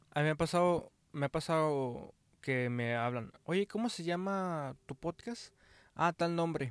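This man talks at a fairly slow pace in a fairly high voice, with a Mexican accent. The sound is dry and close with no echo, and the recording is very clean over a silent background. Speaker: podcast co-host. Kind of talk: casual chat.

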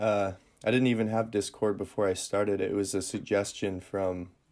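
On a very clean recording with a silent background, a man speaks with an Upper Midwest accent. His pitch is fairly low and his intonation monotone and flat. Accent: Upper Midwest American. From Northern Michigan, US Midwest. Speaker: musician and content creator. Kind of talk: casual interview chat. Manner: hesitant, many fillers.

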